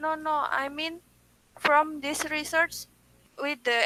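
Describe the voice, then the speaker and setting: A bright, sharp, raised and projected voice in a dry, close sound with no echo. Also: woman. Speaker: webinar participant asking questions. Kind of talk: academic Q&A. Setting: video call. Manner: halting.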